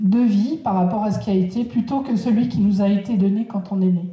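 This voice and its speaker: Audible room echo surrounds a woman's fairly high voice as she speaks at a fairly slow pace with ordinary pitch variation. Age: 60s. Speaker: speaker on personal development. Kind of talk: lecture. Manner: halting.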